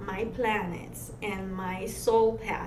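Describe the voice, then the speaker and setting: Through noticeable background noise and audible room echo, a woman with a Romanian accent speaks in a monotone, flat intonation. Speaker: massage therapist and energy healer. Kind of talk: interview. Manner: rolled R's.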